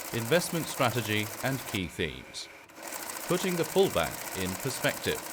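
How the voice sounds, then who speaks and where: A man with a British accent speaks in a calm tone, his pitch swinging very widely. Noticeable background noise runs underneath. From United Kingdom. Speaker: voice actor. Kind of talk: financial market outlook narration, ASMR style. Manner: soft-spoken, calm.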